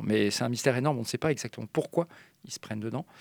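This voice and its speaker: Recorded very cleanly against a silent background, with a dry, close sound and no echo, a man at a medium pitch speaks with ordinary pitch variation. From French mountain region. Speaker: marine mammal scientist at an animal park. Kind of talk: radio interview. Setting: studio. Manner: halting.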